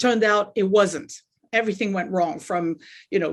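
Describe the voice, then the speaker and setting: Here a woman speaks with a French accent at a fairly quick pace. Her pitch is medium, with ordinary variation. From France. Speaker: life coach. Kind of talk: interview.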